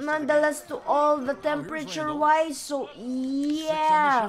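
Noticeable background noise sits behind the speech. A woman speaks at a very slow pace and a high pitch. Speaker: gaming YouTuber. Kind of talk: casual let's play commentary. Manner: rambling, hesitant with fillers.

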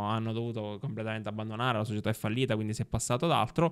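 The setting is quiet. A man does the talking. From Sicily (Ribera, Agrigento); Sicily. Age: 30s. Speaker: journalist and former local councillor; journalist, former local councillor. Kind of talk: casual interview. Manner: halting, many fillers. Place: studio. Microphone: studio mic.

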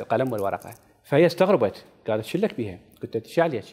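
A man is speaking. The background is quiet. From Iraq. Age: 50s. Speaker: novelist; interview guest. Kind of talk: interview. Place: studio. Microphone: lapel.

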